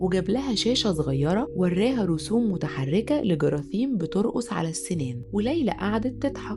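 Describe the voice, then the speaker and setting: A woman with an Egyptian accent, fairly low pitch, very wide pitch swings and a moderate pace, against noticeable background noise. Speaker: storyteller. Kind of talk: children's bedtime story.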